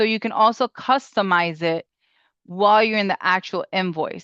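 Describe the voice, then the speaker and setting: In a normal speaking voice, a woman talks at a medium pitch and moderate pace with fairly even intonation, the sound dry and close with no echo against a quiet background. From Springfield, Massachusetts (born in Puerto Rico). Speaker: bookkeeper. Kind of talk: webinar tutorial.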